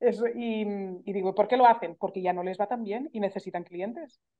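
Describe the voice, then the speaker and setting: A woman's fairly high, animated voice at a moderate pace, with lively intonation. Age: 40s. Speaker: entrepreneur, journalist. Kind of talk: casual interview.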